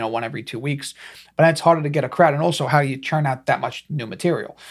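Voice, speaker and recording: In a very clean recording with a silent background, a man with a fairly high, somewhat breathy voice talks very fast in a strong New York accent, using ordinary pitch variation. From Staten Island, New York. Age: 30s. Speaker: stand-up comedian. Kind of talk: casual interview chat.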